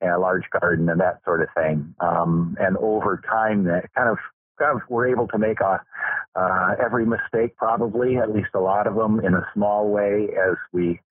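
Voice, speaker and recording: With a Midwestern American accent, this man talks at a moderate pace in a fairly low voice, his pitch varying in an ordinary way and his loudness very even. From Michigan, US Midwest. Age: 60s. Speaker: farmer and Lutheran pastor. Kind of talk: interview. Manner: halting, many fillers.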